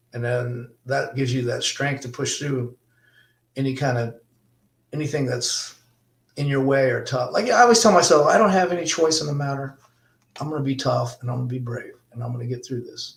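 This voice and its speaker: A man with a fairly high pitch talks at a fairly quick pace, somewhat breathy, with ordinary pitch variation. His speech has long, frequent pauses. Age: 60s. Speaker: bronze sculptor. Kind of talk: interview. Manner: casual, conversational.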